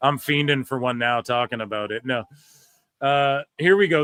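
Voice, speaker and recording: This man has a normal speaking voice at a fairly high pitch. He talks at a moderate pace. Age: 30s. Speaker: wrestling podcast host. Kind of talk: casual chat. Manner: casual, profane.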